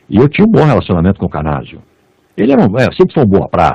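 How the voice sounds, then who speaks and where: Vocal fry over a dark, mellow tone. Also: man. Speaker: radio and TV announcer. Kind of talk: interview answer.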